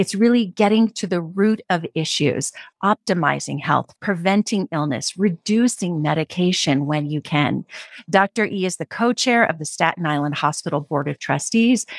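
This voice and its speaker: A woman with an unremarkable speaking voice talks at a moderate pace, fairly low in pitch, with lively intonation. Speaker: podcast host and journalist. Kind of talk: interview intro and casual conversation.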